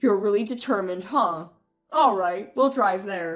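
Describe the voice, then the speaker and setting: A woman growls in a put-on character voice at medium pitch, with lively intonation. She speaks at a moderate pace over music in the background. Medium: read story. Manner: blunt, hot-tempered.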